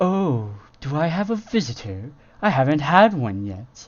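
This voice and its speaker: A man's put-on character voice at fairly high pitch, with very wide pitch swings at a moderate pace. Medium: read story. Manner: sneering.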